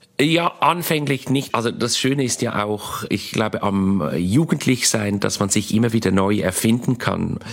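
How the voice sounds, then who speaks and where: A man at a fairly slow pace with hardly any pauses, lively intonation, and noticeable background noise. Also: medium pitch for a man. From Switzerland, Basel. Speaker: comedian. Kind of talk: interview.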